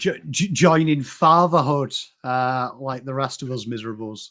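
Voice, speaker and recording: Speaking at a moderate pace, a man with an English accent has a fairly high pitch. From England. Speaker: podcast host. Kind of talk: casual chat.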